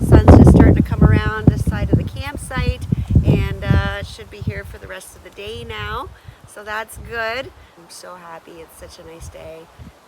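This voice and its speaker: Noticeable background noise accompanies a woman with a Canadian accent speaking at a moderate pace with big swings in loudness. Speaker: outdoor vlogger. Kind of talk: solo vlog narration. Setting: outdoors at campsite.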